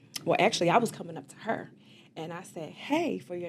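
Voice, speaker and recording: Here a woman with an American accent and a fairly low pitch talks at a fairly quick pace with lively intonation. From US East Coast. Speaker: beauty salon owner and community leader. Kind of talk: interview. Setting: studio.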